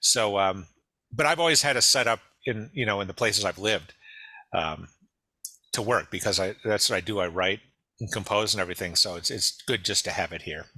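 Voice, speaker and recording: On a very clean recording with a silent background, a man with a Midwestern US accent and a fairly low pitch talks at a fairly quick pace in a bright, sharp tone, with ordinary pitch variation and long, frequent pauses. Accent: General American, Midwest. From US Midwest, Detroit. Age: 60s. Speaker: musician and songwriter. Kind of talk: interview.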